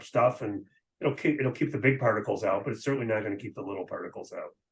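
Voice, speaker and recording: This man talks at a very fast pace with a medium pitch. His voice is somewhat breathy. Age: 60s. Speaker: physician. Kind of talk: interview. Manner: casual, hesitant with fillers.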